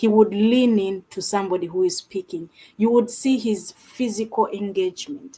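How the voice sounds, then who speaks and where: A woman speaks at a fairly high pitch and a moderate pace. Her voice is somewhat breathy, with ordinary pitch variation. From Uganda. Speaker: abuse survivor and advocate. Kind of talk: interview. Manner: soft-spoken.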